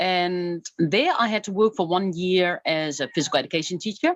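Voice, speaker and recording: A woman with a Dutch accent, medium pitch and moderate pace in a quiet background. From Netherlands. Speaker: adventurer and author. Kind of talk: interview.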